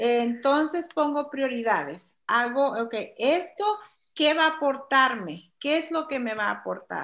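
A woman with a high voice and lively intonation takes her words at a fairly slow pace. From El Salvador. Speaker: guest, immigrant woman sharing life story. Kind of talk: podcast interview. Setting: remote video call.

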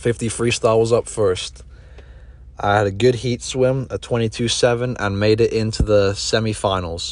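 A man with a British accent talks at a moderate pace over noticeable background noise. His pitch is medium with ordinary variation. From England, raised in Dubai. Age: 20s. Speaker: podcast host and college swimmer. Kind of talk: scripted narration.

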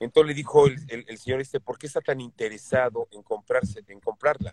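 With a Mexican accent, a man speaks at a moderate pace in a fairly high, somewhat breathy voice with ordinary pitch variation. The sound is dry and close, with no echo. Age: 60s. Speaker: voice actor. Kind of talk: casual interview.

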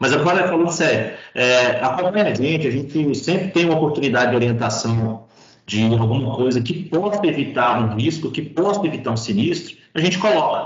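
Amid audible room echo, a man with fairly high pitch and lively intonation talks at a moderate pace with hardly any pauses and very even loudness. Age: 40s. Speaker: road safety and claims specialist, retired highway police officer. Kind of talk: podcast interview.

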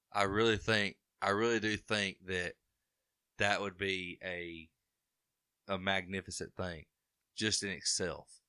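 A man with an Alabama accent and a fairly low pitch, monotone and flat in intonation, bright and sharp in tone, at a fairly slow pace with long, frequent pauses, in a dry, close sound with no echo. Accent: Southern US (Alabama). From Alabama (Carbondale). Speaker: moonshiner, distilling competition winner. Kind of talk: casual interview chat.

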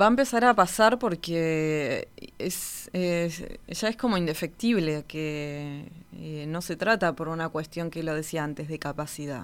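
A normal speaking voice with lively intonation at a fairly slow pace, on a very clean recording with a silent background. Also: woman, fairly low pitch for a woman. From Argentina, Patagonia (Río Gallegos). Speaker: orchestra conductor. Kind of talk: interview conversation.

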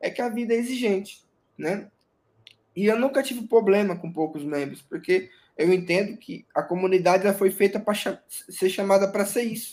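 This man's voice is high-pitched, with ordinary pitch variation. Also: moderate pace. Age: 30s. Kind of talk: interview testimony.

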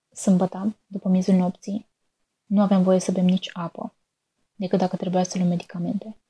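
A woman of medium pitch speaks at a moderate pace with a dark, mellow, somewhat breathy tone. Her intonation is monotone and flat, in a dry, close sound with no echo. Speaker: student writer. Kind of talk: reading aloud.

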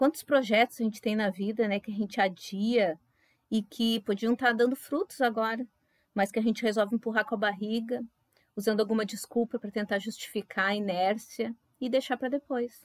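A woman's fairly high, fairly quick voice, an unremarkable speaking voice with fairly even intonation, dry and close with no echo, in a very clean recording with a silent background. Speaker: pharmacist and floral therapist, podcast co-host. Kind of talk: casual podcast chat.

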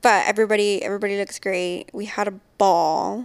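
Over a silent background on a very clean recording, a woman with a medium pitch and an unremarkable speaking voice keeps a fairly even intonation. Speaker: podcast host. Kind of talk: casual chat.

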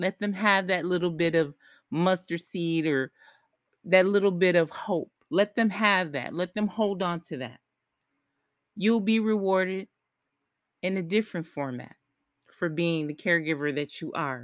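A woman's fairly low voice at a moderate pace, with ordinary pitch variation and long, frequent pauses, in a very clean recording with a silent background and a dry, close sound with no echo. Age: 40s. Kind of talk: solo podcast monologue. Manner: conversational, with fillers and restarts.

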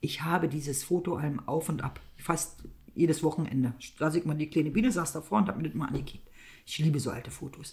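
Somewhat breathy, a woman talks very fast with a very deep, low pitch and ordinary pitch variation. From East Germany. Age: middle-aged. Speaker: podcast co-host. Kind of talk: casual chat.

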